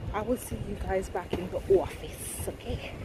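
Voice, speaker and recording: There is audible room echo as a woman talks at a fairly slow pace. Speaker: vlogger and HR administrator. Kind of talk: casual vlog narration. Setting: office. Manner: soft-spoken.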